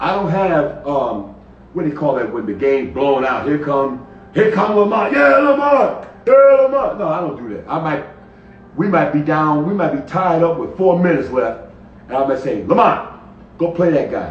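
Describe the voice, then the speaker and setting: Speaking with an American accent, a man uses a fairly high pitch with very wide pitch swings, amid audible room echo and noticeable background noise. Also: moderate pace. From Hartford, Connecticut. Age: 70s. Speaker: basketball coach. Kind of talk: interview on a live stream.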